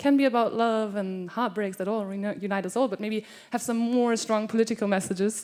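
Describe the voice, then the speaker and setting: A woman with a German accent talks at a very fast pace. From Germany, Cologne. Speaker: scholarship participant, performer. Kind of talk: introducing a performance on stage. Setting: stage with audience.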